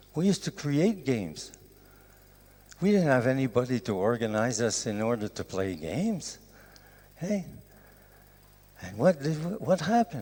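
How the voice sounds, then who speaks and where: A man with a Quebec accent speaks at a medium pitch with very wide pitch swings. Long, frequent pauses break up his speech. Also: moderate pace. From Canada. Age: 70s. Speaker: professor. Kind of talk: lecture.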